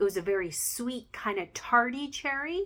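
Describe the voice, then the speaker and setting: Speaking fairly slowly, a woman has a bright, sharp tone. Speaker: home fragrance seller. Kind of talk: product review. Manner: halting, many fillers.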